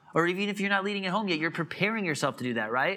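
The man's bright, sharp tone shows ordinary pitch variation, recorded very cleanly over a silent background. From US Midwest (Illinois). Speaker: pastor. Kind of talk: sermon. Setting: church.

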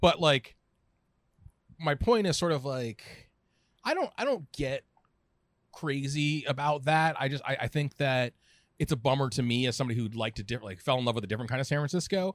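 A man with an American accent, fairly high in pitch, fairly quick yet with long, frequent pauses, ordinary pitch variation, and a dry, close sound on a very clean, silent recording. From Southern California. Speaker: food writer and editor. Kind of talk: casual chat. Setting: small restaurant office.

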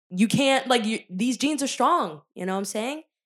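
A woman with an American accent speaks in a plain, everyday voice. Her intonation is lively and her pace moderate. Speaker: podcast host. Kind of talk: casual chat. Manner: casual, swears often.

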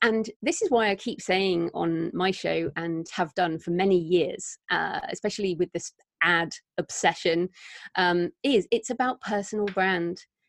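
Over a quiet background, a woman with a British accent talks at a fairly slow pace in a medium pitch with ordinary pitch variation. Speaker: author and podcaster. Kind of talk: casual interview chat.

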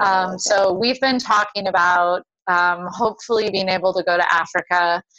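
A woman at a medium pitch with a bright, sharp tone, at a moderate pace with fairly even intonation and very even loudness. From Hawaii, Honolulu. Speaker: college volleyball coach. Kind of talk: interview. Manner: hesitant, many fillers.

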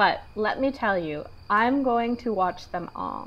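A woman speaks in a normal speaking voice. Her pitch is fairly high and her pace fairly slow. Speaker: podcast co-host. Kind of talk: casual chat.

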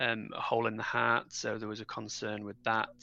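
A man with a northern English accent speaks at a medium pitch. His tone is bright and sharp, and his pace is moderate. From northern England. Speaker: parent of premature twins. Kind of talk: interview.

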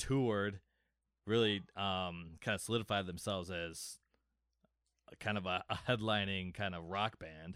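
A man's unremarkable speaking voice, fairly low in pitch with fairly even intonation, on a very clean recording with a silent background. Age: 30s. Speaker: music fan guest. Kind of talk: casual chat.

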